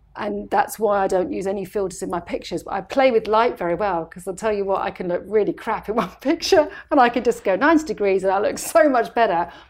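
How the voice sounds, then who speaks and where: A woman with a British accent at a medium pitch, fairly quick pace, and a very clean recording with a silent background. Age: 40s. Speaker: makeup artist. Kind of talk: casual chat.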